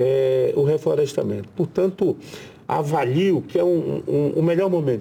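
A man at a moderate pace. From Brazil, Pará (riverside area near Belém). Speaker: senator. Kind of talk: interview.

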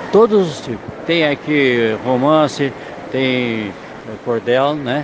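Lively intonation from a medium-pitched man, with noticeable background noise. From southern Brazil, Rio Grande do Sul. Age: 80s+. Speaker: writer, retired lawyer. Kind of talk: interview at book fair. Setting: book fair stand.

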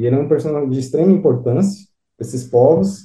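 A man talks at a fairly quick pace in a dark, mellow, somewhat breathy tone. His intonation is lively. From São Paulo, Brazil. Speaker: author. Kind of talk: interview.

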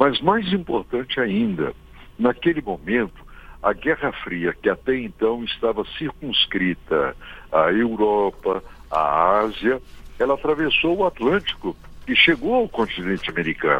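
At a fairly slow pace, a man speaks at a medium pitch with very wide pitch swings and very even loudness. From Minas Gerais, Zona da Mata, Brazil. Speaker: history professor. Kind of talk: radio interview.

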